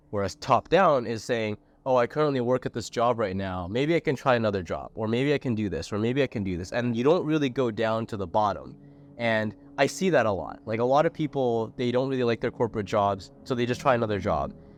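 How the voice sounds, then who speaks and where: A man talks at a fairly quick pace with lively intonation, in an ordinary speaking voice. The background is quiet. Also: medium pitch for a man. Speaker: podcast host. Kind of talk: podcast interview questions.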